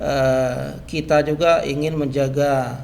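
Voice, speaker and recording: Audible room echo surrounds a man's voice. Noticeable background noise can be heard too. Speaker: customary chief. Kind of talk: podcast interview. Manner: hesitant, frequent filler 'eh'.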